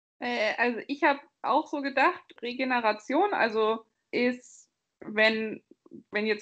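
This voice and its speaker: A woman is speaking. Her intonation is lively. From Bavaria, Germany. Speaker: podcast co-host. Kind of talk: casual chat.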